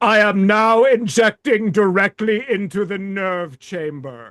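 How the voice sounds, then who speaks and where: Putting on a theatrical, high-pitched character voice, a man speaks at a fairly slow pace. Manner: theatrical, declaring.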